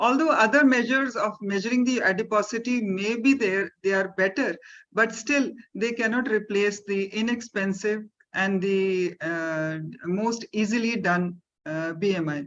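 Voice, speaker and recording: A woman with an Indian accent speaks in a fairly high voice. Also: ordinary pitch variation, moderate pace. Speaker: doctor. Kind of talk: webinar panel answer. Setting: video call. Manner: formal.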